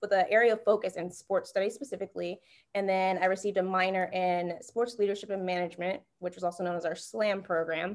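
A woman's ordinary speaking voice with an American accent, medium pitch and fairly even intonation, on a very clean recording with a silent background. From North Carolina. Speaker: sports partnerships manager. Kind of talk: interview.

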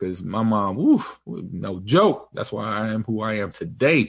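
A man with an American accent speaks at a fairly slow pace in a fairly low pitch with ordinary pitch variation over a quiet background. He has a plain, everyday voice. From Los Angeles, US. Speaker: podcast host. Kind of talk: casual chat.

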